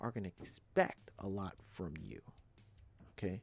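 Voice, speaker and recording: A man speaks with a New York accent. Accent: New York street. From New York City (Brooklyn, Queens). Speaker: electrician, trade YouTuber. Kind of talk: live stream advice talk. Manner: repetitive, halting, emphatic.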